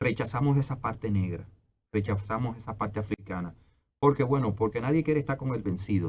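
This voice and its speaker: This man's voice comes out somewhat breathy. He talks very fast, and his pitch varies in an ordinary way. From Dominican Republic. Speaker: anthropologist and historian. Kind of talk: interview.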